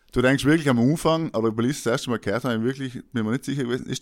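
A man speaks very fast at a medium pitch, on a very clean recording with a silent background. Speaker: podcast host. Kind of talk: casual chat.

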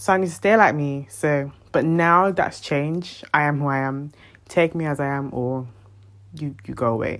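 A woman's very deep, low voice at a moderate pace with ordinary pitch variation. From Caribbean. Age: 20s. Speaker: podcast host. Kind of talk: casual personal monologue.

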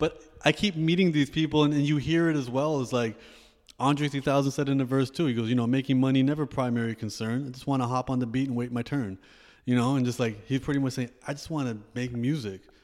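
A man speaks very fast in a Canadian accent. His intonation stays fairly even, and the recording is very clean with a silent background. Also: medium pitch for a man. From Canada, Toronto. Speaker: rapper, poet and author. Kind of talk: casual interview chat.

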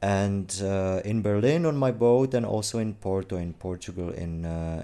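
A man with a Czech accent and a very deep, low pitch speaks in a dark, mellow tone at a moderate pace with ordinary pitch variation. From Czech Republic. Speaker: gallery owner. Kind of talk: interview.

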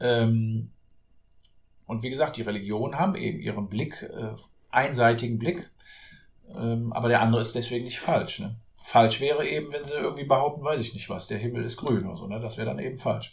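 At a fairly quick pace broken by long, frequent pauses, a man speaks at medium pitch with vocal fry and ordinary pitch variation. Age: 40s. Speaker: author and real estate agent. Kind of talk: podcast interview.

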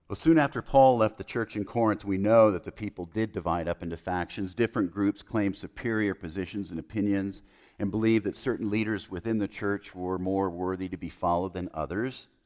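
In a very clean recording with a silent background and a dry, close sound with no echo, a man with an American accent talks at a fairly quick pace with hardly any pauses, in a plain, everyday voice with fairly low pitch and ordinary pitch variation. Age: 50s. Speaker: preacher. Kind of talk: sermon.

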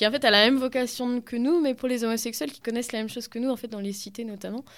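A woman speaks at a very fast pace in a high pitch with ordinary pitch variation. The recording is very clean, with a silent background. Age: 20s. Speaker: feminist collective activist, social worker. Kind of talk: radio interview.

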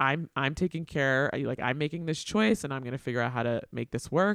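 In a normal speaking voice with lively intonation, the speaker goes at a moderate pace, and the sound is dry and close with no echo. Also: man. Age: 40s. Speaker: podcast host, teaching artist. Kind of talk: casual interview chat.

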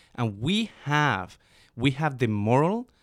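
A man's fairly high voice in a Spanish accent, very slow, with very wide pitch swings, on a very clean recording with a silent background and a dry, close sound with no echo. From Colombia, Bogota. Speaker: immigration advocacy communications specialist, guest co-host. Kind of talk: casual political discussion.

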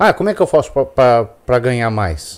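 A man is speaking. His pace is moderate. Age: 50s. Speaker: friend of the hosts giving personal finance views. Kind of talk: casual chat.

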